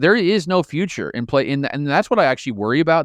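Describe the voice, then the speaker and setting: A man with a Midwestern American accent talks at a very fast pace with lively intonation, in a dry, close sound with no echo and a quiet background. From rural Midwest, Marion County, central Illinois. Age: 40s. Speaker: political science professor and former pastor. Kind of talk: interview conversation.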